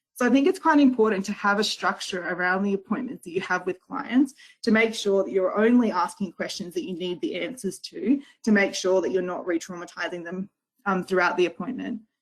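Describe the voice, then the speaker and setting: A woman with an Australian accent talks at a fairly quick pace, her pitch varying in an ordinary way. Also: medium pitch for a woman. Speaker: legal service worker. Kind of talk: webinar presentation. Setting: online webinar. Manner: fast.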